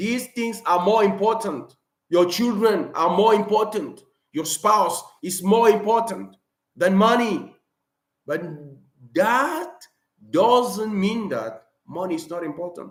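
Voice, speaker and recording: A man with a non-native accent and a high pitch speaks at a very slow pace, with long, frequent pauses, big swings in loudness, and ordinary pitch variation. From Cameroon. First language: not English. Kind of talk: live stream talk. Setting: live stream.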